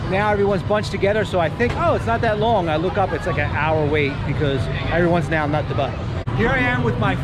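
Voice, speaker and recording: A man with an American accent talks very fast in a fairly high pitch, his pitch swinging very widely while his loudness stays very even. Crowd noise and audible room echo fill the background. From Philadelphia area, Pennsylvania. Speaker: realtor and vlogger. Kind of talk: casual interview on location. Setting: outdoors at a theme park.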